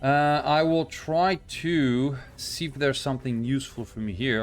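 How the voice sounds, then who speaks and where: Music plays in the background as a man with a non-native accent speaks at a moderate pace. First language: not English. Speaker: gaming YouTuber. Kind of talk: gameplay commentary. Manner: hesitant, many fillers.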